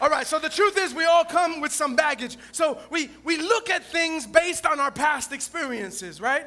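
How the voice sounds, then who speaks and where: Speaking at a moderate pace with hardly any pauses, a man uses a raised, projected voice at an extremely high pitch, his tone bright, sharp and animated, with ordinary pitch variation. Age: 40s. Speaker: pastor. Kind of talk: lively call-and-response Sunday sermon. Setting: church with live congregation. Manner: repetitive, stumbling restarts; animated, loud, coaxing amens from the congregation.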